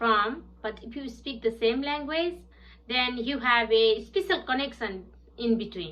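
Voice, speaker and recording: A woman with a Nepali accent speaks at a high pitch and a moderate pace, with lively intonation. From southern Bhutan (Nepali-speaking). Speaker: English language student. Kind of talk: prepared class presentation. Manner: halting with fillers.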